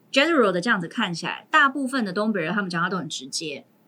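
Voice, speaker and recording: Noticeable background noise sits behind the recording. A woman speaks at a medium pitch with lively intonation. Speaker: teacher, guest co-host. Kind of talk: casual chat.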